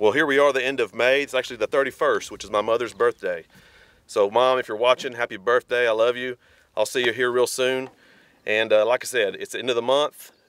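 A man speaks in a monotone, flat intonation. The sound is dry, with no echo. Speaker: hunter vlogger. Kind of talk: casual vlog chat. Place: open country.

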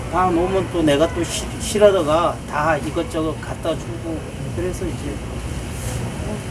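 Long, frequent pauses at a fairly slow pace, with noticeable background noise. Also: man. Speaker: market shopkeeper. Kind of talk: interview answer. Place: shop. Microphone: camera far.

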